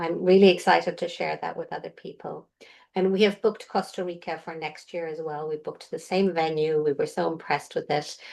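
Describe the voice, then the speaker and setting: Over a quiet background, a woman with an Irish accent speaks at a fairly quick pace with big swings in loudness. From Ireland. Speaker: intuitive healer. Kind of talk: casual chat.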